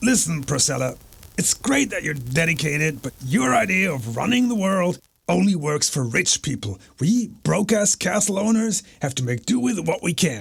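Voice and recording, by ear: A man puts on a cartoonish character voice at a high pitch. His pitch swings very wide. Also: moderate pace.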